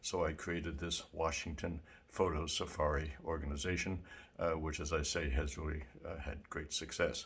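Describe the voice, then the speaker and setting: With an American accent, a man speaks at a moderate pace in a very deep, low voice. His intonation is monotone and flat, and room echo is audible. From New York City. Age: 80s+. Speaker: small business owner. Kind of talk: appeal for funding. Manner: halting.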